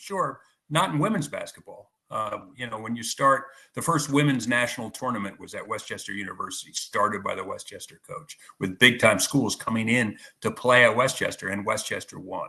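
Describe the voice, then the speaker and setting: Talking at a fairly quick pace, a man's voice shows big swings in loudness. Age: 60s. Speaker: sports writer. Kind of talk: interview. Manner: halting, many repetitions.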